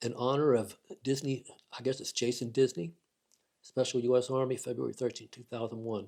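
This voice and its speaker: A man's dark, mellow voice, fairly even in intonation, with big swings in loudness and a fairly quick pace. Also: medium pitch for a man. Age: 60s. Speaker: retired rock singer. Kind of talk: casual chat. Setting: living room.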